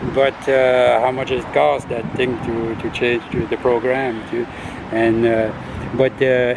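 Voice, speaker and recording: A man with an Acadian accent at a very slow pace, over noticeable background noise. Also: medium pitch for a man. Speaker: political candidate. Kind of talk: interview. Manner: halting, many fillers and repetitions.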